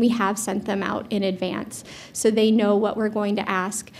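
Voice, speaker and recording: The voice is a woman's. It sounds somewhat breathy. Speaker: moderator. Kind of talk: opening remarks and housekeeping. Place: hall.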